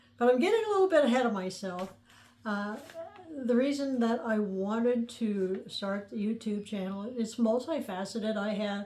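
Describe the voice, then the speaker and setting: Fairly high female voice with an American accent against noticeable background noise. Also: ordinary pitch variation, moderate pace. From US Midwest, central Illinois (near Mattoon). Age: 70s. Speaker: podcaster telling her life story. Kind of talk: personal storytelling monologue. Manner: conversational, with frequent hesitations and fillers.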